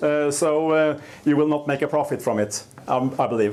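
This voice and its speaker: A man speaks with a Norwegian accent. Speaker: dairy farmer. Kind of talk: conference talk. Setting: stage with audience. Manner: halting, many fillers; slow.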